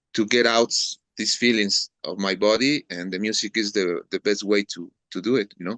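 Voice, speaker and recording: The speech comes in a Mexican accent at a moderate pace. Intonation stays fairly even. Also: man, fairly low pitch for a man, dry, close sound with no echo. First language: Spanish. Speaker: metal drummer. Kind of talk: interview. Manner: halting, repeats words.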